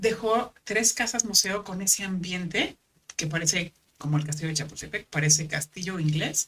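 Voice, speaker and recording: A woman talks at a moderate pace with a medium pitch and ordinary pitch variation. She has an ordinary speaking voice. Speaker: former actress and paramedic. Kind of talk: podcast interview.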